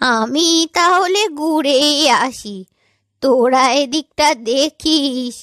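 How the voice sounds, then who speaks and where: A woman's cartoonish character voice, high in pitch, at a very slow pace. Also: ordinary pitch variation, very clean recording, silent background. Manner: fussy, chattering, quick-witted.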